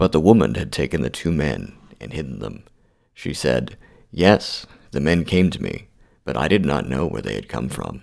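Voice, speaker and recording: Speaking at a moderate pace, a man with a very deep, low voice uses lively intonation and vocal fry. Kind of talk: scripture reading for sleep. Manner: soft-spoken.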